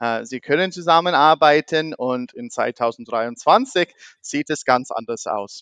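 In an American accent, a man speaks at a very slow pace and a fairly high pitch, with very wide pitch swings and big swings in loudness against a quiet background. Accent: American accent in German, non-fluent. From US (half American, half German). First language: English (speaking German). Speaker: podcast host. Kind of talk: casual interview. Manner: halting, many fillers.

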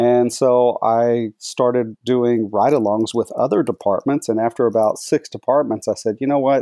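An unremarkable speaking voice, this man with an American accent talks at a moderate pace and medium pitch, with fairly even intonation, very even loudness and hardly any pauses. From Texas, Dallas-Fort Worth. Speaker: tech company executive. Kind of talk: casual interview.

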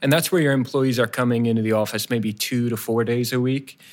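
In a very clean recording with a silent background, a man with an American accent uses a plain, everyday voice at medium pitch with ordinary pitch variation. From New Jersey. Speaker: construction cost consultant. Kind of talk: podcast interview. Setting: office boardroom.

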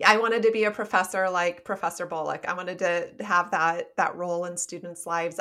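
Fairly quick and bright with a sharp tone, a woman speaks at a fairly low pitch with a US Midwestern accent. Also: very clean recording, silent background. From Nebraska, US Midwest. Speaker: psychologist and author. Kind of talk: interview conversation.

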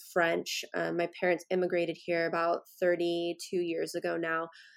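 Fairly low-pitched female voice, moderately paced. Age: 20s. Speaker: company founder and CEO. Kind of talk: interview.

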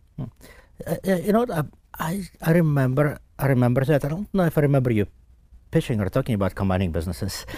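Talking at a very fast pace with long, frequent pauses, a man has a fairly high pitch, very wide pitch swings and a dark, mellow, somewhat breathy tone. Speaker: tech company CEO. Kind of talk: casual interview chat. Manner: hesitant, many fillers.

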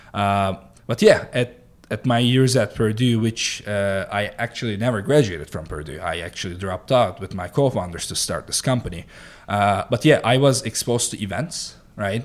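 At a moderate pace, a man with a fairly low pitch speaks in a Turkish accent with ordinary pitch variation. The recording is very clean, and the background is silent. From Turkey, Mediterranean coast. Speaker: startup founder and CEO. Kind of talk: podcast interview.

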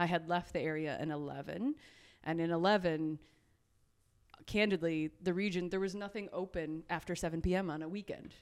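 A woman speaks at a fairly quick pace in a Midwestern American accent, her pitch fairly low and her intonation fairly even. The recording is very clean, with a silent background. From southwest Michigan. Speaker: regional economic development executive. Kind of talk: interview.

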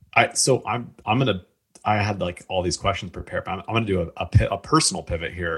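The intonation is lively. The pace is very fast. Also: man. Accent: Midwestern American. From Indiana, US Midwest. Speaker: podcast host. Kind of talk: casual chat; scripted narration.

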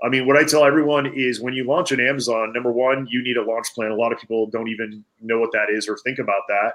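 An ordinary speaking voice from a man, medium in pitch, with fairly even intonation and a fairly quick pace. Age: 40s. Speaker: e-commerce entrepreneur and Amazon seller coach. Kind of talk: interview.

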